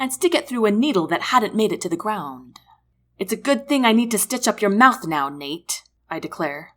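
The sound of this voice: The clip features an unforced reading voice with lively intonation. The background is quiet.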